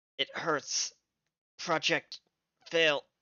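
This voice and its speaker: The put-on character voice comes out raspy. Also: middle pitch. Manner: pained.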